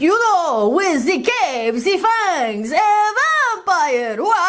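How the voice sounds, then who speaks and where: In a put-on character voice, the speaker goes at a very slow pace over noticeable background noise. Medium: read story. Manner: shrill, squeaky.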